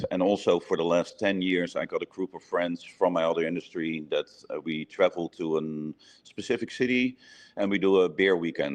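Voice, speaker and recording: This is a man speaking. He has a Dutch accent. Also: dry, close sound with no echo. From Netherlands. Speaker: brewery owner and head brewer. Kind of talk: interview.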